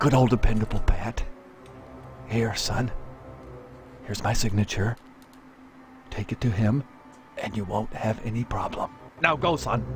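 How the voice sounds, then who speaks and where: Using a put-on character voice, a quiet, strained man with a medium pitch speaks at a moderate pace with long, frequent pauses over clear background noise. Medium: video game. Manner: hushed, confiding.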